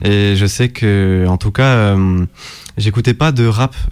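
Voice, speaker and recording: Fairly low-pitched, a man speaks in a normal speaking voice, his pitch varying in an ordinary way. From southern France, Nîmes. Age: 20s. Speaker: beatmaker. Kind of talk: radio interview.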